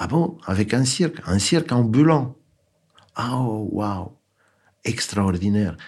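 This man's voice sits at a medium pitch and swings very widely up and down. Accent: Romanian. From Romania, Bucharest. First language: Romanian (speaking French). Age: 70s. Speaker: architect. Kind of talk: testimony. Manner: halting.

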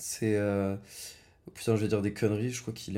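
A dark, mellow tone with ordinary pitch variation. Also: man. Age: 20s. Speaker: podcast guest, friend of host. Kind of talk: casual interview chat. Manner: hesitant, many fillers.

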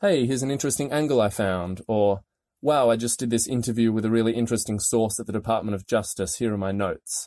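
Man with an Australian accent, medium pitch and a dark, mellow tone, fairly even intonation, dry, close sound with no echo, very clean recording and silent background. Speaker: investigative journalist. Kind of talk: interview.

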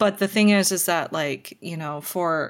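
Using a normal speaking voice, a woman with an American accent talks at a moderate pace and fairly low pitch with fairly even intonation, on a very clean recording with a silent background. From Minnesota, US. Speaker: comedian. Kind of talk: casual chat.

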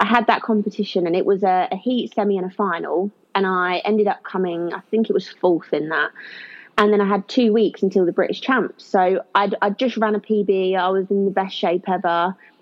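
With a southern English accent, a woman talks at a moderate pace in a medium pitch, her intonation fairly even. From southern England, Kent. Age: 20s. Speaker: former track athlete, eyelash technician. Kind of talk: personal testimony in interview.

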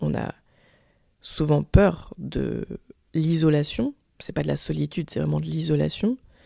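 A woman speaks at a fairly slow pace with long, frequent pauses. The sound is dry and close, with no echo. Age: 30s. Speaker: podcaster. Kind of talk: personal monologue. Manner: halting.

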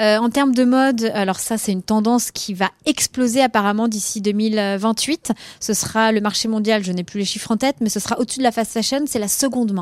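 A woman's fairly high voice at a fairly quick pace with hardly any pauses, fairly even intonation, and a dry, close sound with no echo. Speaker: impact journalist. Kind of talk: interview. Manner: hesitant with fillers.

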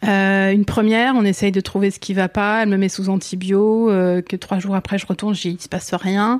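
Speaking at a moderate pace, a woman keeps a medium pitch and a flat, monotone intonation. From France, Essonne (Paris region). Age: 40s. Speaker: mother sharing her cancer story. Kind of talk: personal testimony interview. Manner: halting, many fillers and repetitions.

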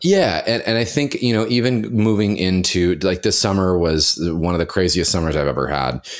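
At a moderate pace, a man speaks in a low, nasal voice with ordinary pitch variation.

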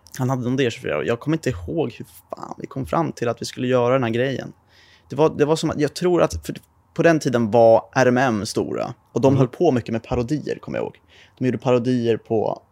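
A man with an ordinary speaking voice, at a fairly quick pace with ordinary pitch variation, in a dry, close recording with no echo. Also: medium pitch for a man. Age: 20s. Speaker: car YouTuber. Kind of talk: casual chat.

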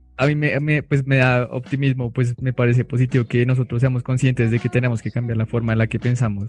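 At a very fast pace with hardly any pauses, a man of medium pitch speaks in a somewhat breathy, monotone, flat way, with a dry, close sound and no echo. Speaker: podcast host. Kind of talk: casual chat.

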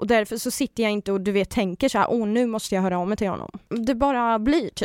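In a dry, close recording with no echo, very clean and with a silent background, a woman talks very fast with hardly any pauses, using a fairly high pitch and ordinary pitch variation. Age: 20s. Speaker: reality TV personality. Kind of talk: casual chat. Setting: studio.

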